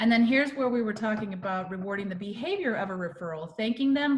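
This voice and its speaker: A woman speaks very fast in a fairly high voice with ordinary pitch variation, and there is noticeable background noise. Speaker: real estate marketing presenter. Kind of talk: webinar presentation.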